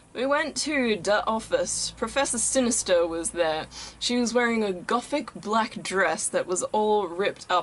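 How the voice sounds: The reading voice is natural. Its intonation is lively.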